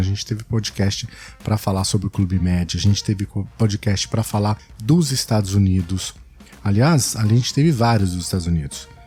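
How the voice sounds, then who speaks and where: Speaking at a moderate pace with a São Paulo accent, a man has a fairly low pitch and ordinary pitch variation over noticeable background noise. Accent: São Paulo Brazilian Portuguese. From São Paulo, Brazil.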